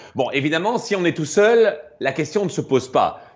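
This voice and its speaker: Using a Belgian accent, a man speaks at a moderate pace with a fairly high pitch. His tone is animated and his intonation lively. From Belgium. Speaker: math popularizer and performer. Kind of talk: explanatory lecture in a live stream.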